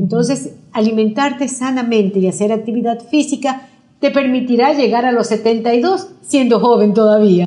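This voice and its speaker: Fairly slow pace, dark, mellow tone, ordinary pitch variation, and very even loudness. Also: woman, fairly high pitch for a woman. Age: 60s. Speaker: nutrition doctor. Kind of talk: interview.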